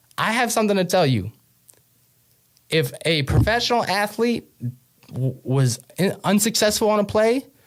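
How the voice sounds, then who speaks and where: A man with an American accent speaks at a moderate pace in a high, animated voice with very wide pitch swings, very even loudness, and long, frequent pauses. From New York. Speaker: podcast host. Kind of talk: comedic monologue.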